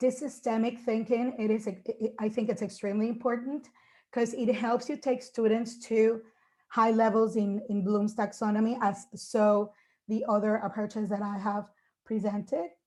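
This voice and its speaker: In a very clean recording with a silent background, a woman with a dark, mellow, somewhat breathy tone speaks at a moderate pace and fairly high pitch in a monotone, flat intonation. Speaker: English teacher. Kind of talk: conference presentation.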